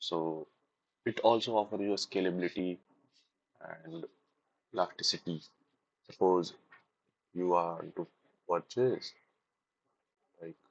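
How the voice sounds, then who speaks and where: With fairly even intonation but big swings in loudness, a man with a very deep, low voice talks at a fairly slow pace, with long, frequent pauses and a dry, close sound that has no echo. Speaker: self-taught speaking practice vlogger. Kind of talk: reading aloud. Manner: halting.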